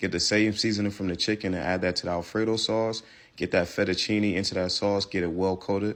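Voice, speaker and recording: A man's flat, monotone voice, fairly low in pitch, with a New York accent, at a very fast pace over a quiet background. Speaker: cooking content creator. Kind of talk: recipe tutorial. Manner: casual.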